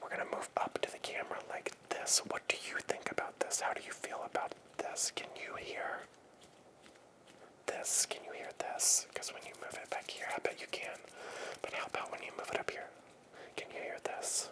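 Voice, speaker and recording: A man whispers at a moderate pace, with long, frequent pauses. Noticeable noise sits in the background. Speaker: ASMR creator. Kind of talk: ASMR mic test, casual talk to camera. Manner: soft-spoken, whispered.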